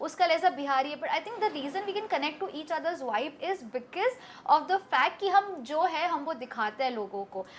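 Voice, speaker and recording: A woman with an Urdu accent, extremely high-pitched and animated, her pitch swinging very widely with hardly any pauses. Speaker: interview guest, social media personality. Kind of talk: interview.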